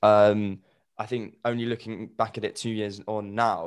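A man's fairly low voice in a London accent, flat and monotone in intonation. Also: very clean recording, silent background. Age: 20s. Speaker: grief podcaster. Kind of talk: casual interview.

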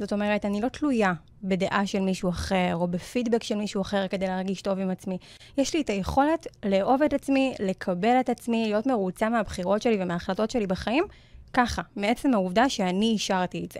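Speaking at a fairly quick pace, a woman uses an ordinary speaking voice at medium pitch with ordinary pitch variation. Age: 20s. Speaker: self-confidence coach. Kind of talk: interview conversation on radio show.

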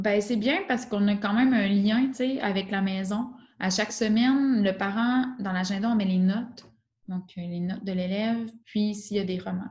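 A somewhat breathy woman at a medium pitch, with fairly even intonation and a moderate pace. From Quebec. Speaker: teacher. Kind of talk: interview.

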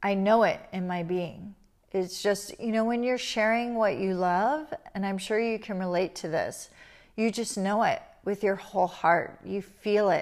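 A woman with an ordinary speaking voice, medium pitch with ordinary variation, at a fairly slow pace. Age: 50s. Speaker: spiritual teacher and podcast host. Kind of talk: personal storytelling monologue. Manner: soft, reflective with frequent fillers.

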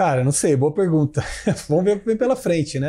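A man is speaking. His tone is dark and mellow. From Brazil, Ribeirão Preto (São Paulo state). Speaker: tech entrepreneur and CEO. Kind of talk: interview.

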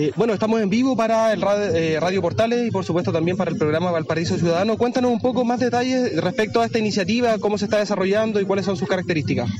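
Against noticeable background noise, a man talks very fast with hardly any pauses, his high voice showing ordinary pitch variation and very even loudness. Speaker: field reporter. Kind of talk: live field report. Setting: outdoors at a market.

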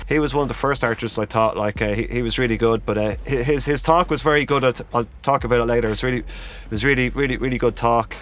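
Amid noticeable background noise, a man with a medium-pitched voice talks at a very fast pace. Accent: Dublin. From Ireland, Dublin area. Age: 40s. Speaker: calligrapher and workshop organiser. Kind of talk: casual interview chat. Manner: halting, many fillers.

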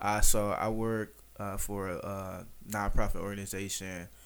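In a room with audible echo, a man with an American accent speaks. His pitch is fairly low and his intonation fairly even. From Detroit, east side. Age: 20s. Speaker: food critic content creator. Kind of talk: casual chat.

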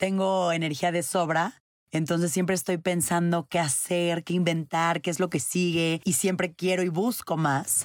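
At a fairly slow pace, a woman speaks at a fairly low pitch with fairly even intonation and very even loudness on a very clean recording with a silent background. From Mexico. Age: 20s. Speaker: podcast host. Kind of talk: personal monologue.

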